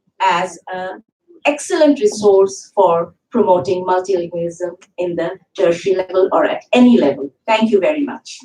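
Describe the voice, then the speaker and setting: A woman in a Bengali accent, moderate in pace, with very wide pitch swings. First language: Bangla. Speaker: university English teacher. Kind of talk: conference panel talk. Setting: conference hall with audience. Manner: formal.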